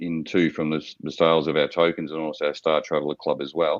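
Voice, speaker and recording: With an Australian accent, a man delivers his lines at a fairly quick pace. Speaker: startup founder pitching to investors. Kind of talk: investor pitch Q&A. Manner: halting, with many fillers and repetitions.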